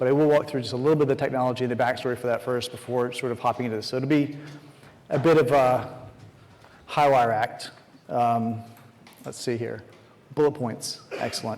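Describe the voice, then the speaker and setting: Speaking at a fairly quick pace, a medium-pitched man leaves long, frequent pauses while his intonation stays fairly even. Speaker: conference speaker. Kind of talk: conference talk. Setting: stage with audience. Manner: fast.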